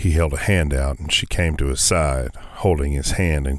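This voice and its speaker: This man's pitch is very deep and low, with ordinary variation. He talks at a moderate pace. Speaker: audiobook narrator. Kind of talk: audiobook narration.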